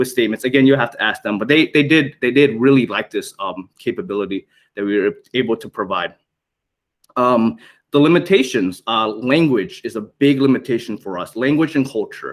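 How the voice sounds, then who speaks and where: Speaking with a Thai accent, a man uses lively intonation at a medium pitch and a fairly quick pace. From Thai background. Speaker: military public affairs media liaison. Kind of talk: conference presentation. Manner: halting, many fillers and repetitions.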